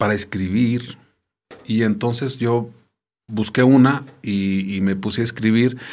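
A man's medium-pitched voice moves at a very slow pace with ordinary pitch variation. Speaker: theatre artist and arts educator. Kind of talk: casual interview.

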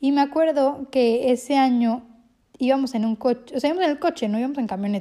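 In a very clean recording with a silent background, a woman with a high pitch and a dark, mellow tone talks at a very fast pace with ordinary pitch variation. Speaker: podcaster. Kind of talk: casual monologue.

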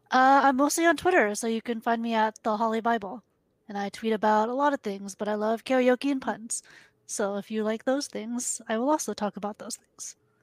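A woman with an American accent speaks in a normal speaking voice, fairly high in pitch with ordinary pitch variation and a fairly quick pace, in a very clean recording with a silent background and a dry, close sound with no echo. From US. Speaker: games industry communications manager. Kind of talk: casual chat.

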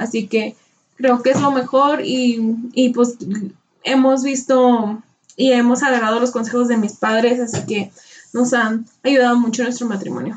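A woman talks at a fairly slow pace in a flat monotone. Her pitch sits high. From Tamaulipas, Mexico, then Rio Grande Valley, Texas. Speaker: podcast co-host. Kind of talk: casual chat.

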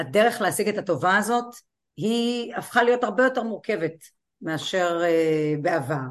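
Here is a woman with an ordinary speaking voice at a medium pitch. She talks at a moderate pace with lively intonation. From Israel, Kiryat Malakhi. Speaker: law professor and college president. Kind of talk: interview.

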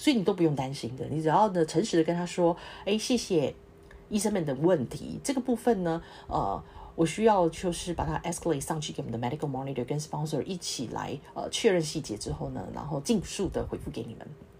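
A woman with a very deep, low voice and vocal fry talks at a fairly quick pace, her pitch swinging very widely and her loudness shifting a great deal. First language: not English (speaking Chinese). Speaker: clinical research associate, podcast host. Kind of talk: solo podcast talk. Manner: halting, many fillers.

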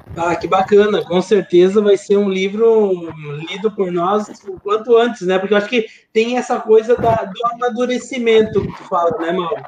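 Over noticeable background noise, a man with a high pitch talks at a moderate pace with fairly even intonation. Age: 40. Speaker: podcast host, academic. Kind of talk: interview.

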